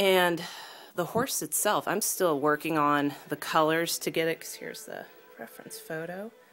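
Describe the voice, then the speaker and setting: Music plays in the background while a woman speaks at a moderate pace. Her pitch is very deep and low. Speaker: artist. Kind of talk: casual talk to camera.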